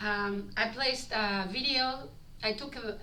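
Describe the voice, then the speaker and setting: A strong non-native accent comes through. The room echo is audible. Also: woman. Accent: heavy foreign. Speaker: street performer and vlogger. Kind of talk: vlog reading from a script. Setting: recorded on body camera. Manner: halting.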